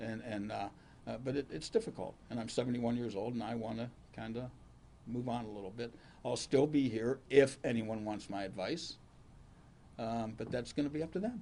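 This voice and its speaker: In an Ohio accent, a man speaks at a medium pitch with a dark, mellow tone and ordinary pitch variation. His pace is fairly quick, broken by long, frequent pauses. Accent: Ohio American. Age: 70s. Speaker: county prosecutor. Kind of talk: press conference Q&A.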